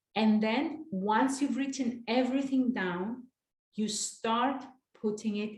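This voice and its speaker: Somewhat breathy speech at a fairly slow pace. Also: woman. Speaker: life coach. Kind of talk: online master class.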